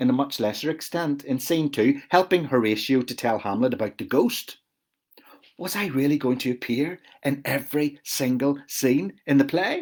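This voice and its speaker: Speaking at a moderate pace, a man with a Belfast accent has a fairly high pitch. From Northern Ireland, West Belfast. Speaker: author. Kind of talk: reading aloud.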